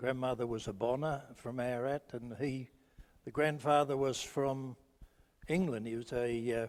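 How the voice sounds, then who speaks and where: Here a man with a rural Australian accent speaks at a moderate pace. His pitch is medium and his intonation fairly even. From rural Victoria, Australia. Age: 70s. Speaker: local resident sharing memories. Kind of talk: group reminiscence.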